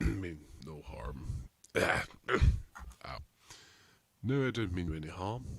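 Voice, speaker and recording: A man puts on a raspy character voice, very deep and low, with very wide pitch swings. He speaks at a very slow pace, with long, frequent pauses. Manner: cautious, reassuring.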